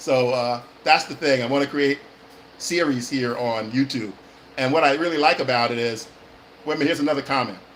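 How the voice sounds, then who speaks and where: With an American accent, a man talks at a fairly quick pace in a medium pitch, his intonation fairly even, with long, frequent pauses and noticeable background noise. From California. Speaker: actor and acting coach. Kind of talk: live stream chat. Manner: fast-talking; hesitant, many fillers.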